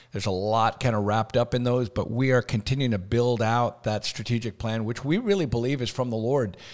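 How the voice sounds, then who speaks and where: An unremarkable speaking voice from a man at medium pitch and a fairly quick pace, with ordinary pitch variation, hardly any pauses, and a very clean recording with a silent background. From Canada. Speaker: school association executive. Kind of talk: casual interview.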